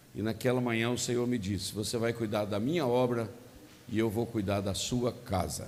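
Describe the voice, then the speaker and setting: Amid audible room echo, a man speaks at a moderate pace and medium pitch with ordinary pitch variation. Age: 60s. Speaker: pastor. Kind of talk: sermon.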